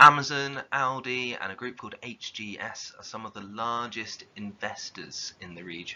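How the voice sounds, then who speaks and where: At a moderate pace, a man speaks with a southern English accent. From southern England. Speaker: geography teacher. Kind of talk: lecture.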